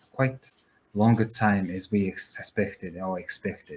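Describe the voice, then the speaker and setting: A man with a Mongolian accent, fairly low pitch and fairly even intonation at a very slow pace. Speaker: founder of a whistleblower platform, compliance officer. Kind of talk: panel discussion. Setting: video call. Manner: halting, many fillers.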